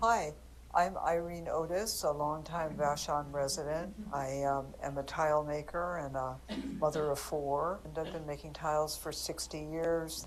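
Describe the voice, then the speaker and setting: With audible room echo, a woman with a very deep, low voice speaks at a fairly slow pace and with fairly even intonation. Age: 70s. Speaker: tile maker, food bank client. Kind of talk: testimony.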